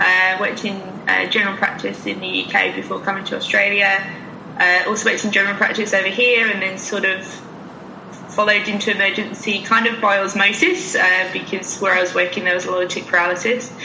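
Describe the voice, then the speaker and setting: With noticeable background noise and audible room echo, a woman speaks very fast in an English accent, her intonation monotone and flat. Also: medium pitch for a woman. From England. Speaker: emergency vet. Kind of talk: casual interview.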